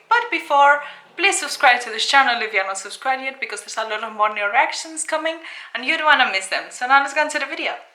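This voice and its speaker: A woman with a Spanish accent speaks in a raised, projected voice at a high pitch. She goes at a very fast pace with lively intonation against noticeable background noise. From Spain. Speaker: YouTuber. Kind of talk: casual video reaction.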